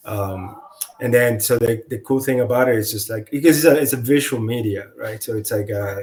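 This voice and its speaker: This man speaks with a non-native accent at a fairly quick pace, medium in pitch with ordinary pitch variation. Noticeable background noise sits behind him. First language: not English. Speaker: comic book artist. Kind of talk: casual interview chat. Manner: halting, many fillers and restarts.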